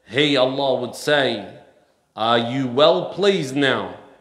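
A man talking very slowly, with audible room echo and a quiet background. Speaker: preacher. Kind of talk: sermon. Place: church. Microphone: headset.

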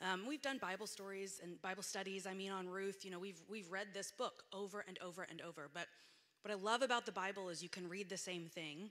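Against a quiet background, a woman with a bright, sharp tone talks at a fairly quick pace with fairly even intonation. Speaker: guest preacher. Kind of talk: sermon. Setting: church. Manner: casual, filler-heavy. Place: church. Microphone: handheld.

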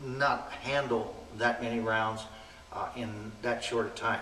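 Spoken at a fairly slow pace with fairly even intonation, the voice carries audible room echo over light background noise. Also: man. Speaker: firearms instructor. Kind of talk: interview answer. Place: hall.

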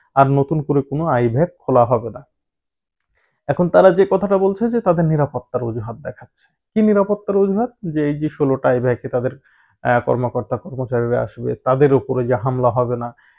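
A normal speaking voice from a man, medium in pitch, with lively intonation over a quiet background. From Bangladesh. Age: 30s. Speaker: travel vlogger; news commentator vlogger. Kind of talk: vlog commentary. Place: studio. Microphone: lapel.

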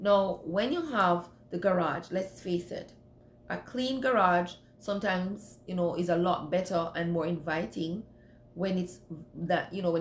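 A woman with fairly low pitch talks at a fairly slow pace, with ordinary pitch variation. Audible room echo and light background noise can be heard. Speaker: home cleaning vlogger. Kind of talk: casual vlog advice. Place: home room. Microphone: phone near.

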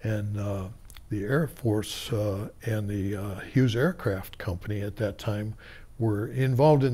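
A man speaks with an American accent and ordinary pitch variation. His voice is somewhat breathy. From Tucson, Arizona. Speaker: oral history interviewee, former community board co-chair. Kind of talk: oral history interview, recalling the past. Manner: halting, hesitant with filler words and restarts; slow, reflective, rambling storytelling of an elder. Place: studio.

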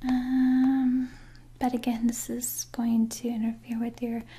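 Soft-spoken and gentle in tone, a woman with a high pitch talks very slowly in a monotone, flat intonation. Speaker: role-play host. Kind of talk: soft personal-attention role-play chat. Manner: soft, gentle ASMR voice. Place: home room.

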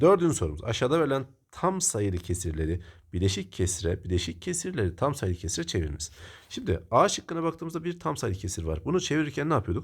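A somewhat breathy man at a fairly low pitch, talking at a very fast pace with very wide pitch swings, in a very clean recording with a silent background. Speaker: math teacher. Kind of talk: tutorial.

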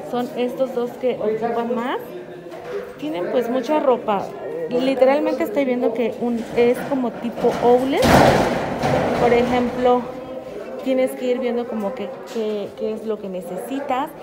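Over music in the background, a woman talks at a fairly slow pace with long, frequent pauses. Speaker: vlogger touring a shopping plaza. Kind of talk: casual vlog chat. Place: shop. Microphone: phone near.

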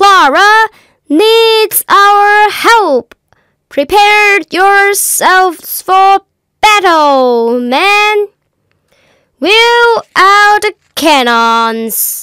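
A woman puts on a character voice at an extremely high pitch and speaks at a very slow pace. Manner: commanding, crying out orders.

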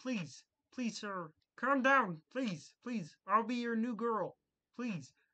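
In a put-on character voice, a female-sounding speaker talks at a fairly high pitch and a very slow pace, with long, frequent pauses. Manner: comic desperate begging.

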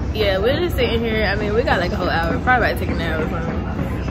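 Crowd noise rumbles in the background as the voice races along at a very fast pace. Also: woman. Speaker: vlogger. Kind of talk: casual vlog chat. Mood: playful, laughing. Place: station. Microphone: phone near.

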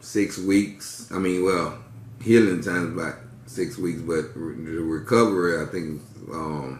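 Someone speaks at a fairly slow pace with ordinary pitch variation, and room echo is audible. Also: man. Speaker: vlogger. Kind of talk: casual vlog chat while eating. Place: home room. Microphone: phone near.

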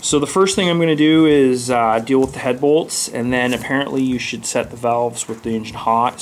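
The speech moves at a moderate pace. Light background noise sits underneath. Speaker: hobby tractor owner. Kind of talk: tutorial. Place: garage. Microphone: phone near.

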